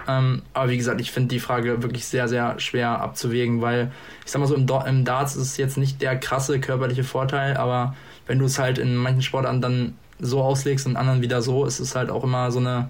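At a fairly quick pace, a man speaks in a medium pitch with monotone, flat intonation and a somewhat breathy sound, amid audible room echo. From northern Germany, Hanover region. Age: 20s. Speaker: darts player and podcast guest. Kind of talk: casual chat. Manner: hesitant, many fillers.

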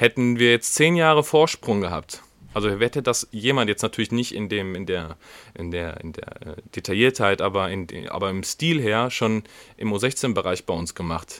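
A man's fairly low voice at a moderate pace, with lively intonation and big swings in loudness. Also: dry, close sound with no echo. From Germany, Wiedenbrück (Westphalia). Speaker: podcast host, rugby player. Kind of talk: casual chat. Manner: hesitant, many fillers.

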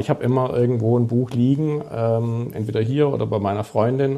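In a Swabian accent, the speaker talks at a moderate pace with fairly even intonation. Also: man. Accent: southern German (Swabian). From Stuttgart, southern Germany. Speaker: sports journalist and author. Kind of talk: casual podcast conversation.

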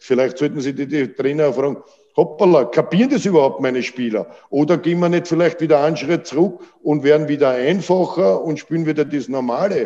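Delivery is fairly quick. Ordinary pitch variation runs through it. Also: man, fairly high pitch for a man. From Austria, Vienna. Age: 60s. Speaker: football coach. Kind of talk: interview. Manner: halting.

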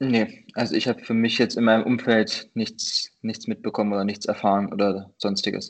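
Over a quiet background, a man speaks at a moderate pace with hardly any pauses. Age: 30s. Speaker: sprinter. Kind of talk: interview. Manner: halting, many fillers.

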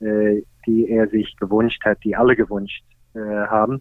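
Speaking with an English accent, a man keeps a medium pitch and a fairly slow pace. His intonation is monotone and flat. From Australia. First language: English (speaking German). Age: 50s. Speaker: golf pro and senior tour player. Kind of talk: interview. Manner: hesitant, many fillers.

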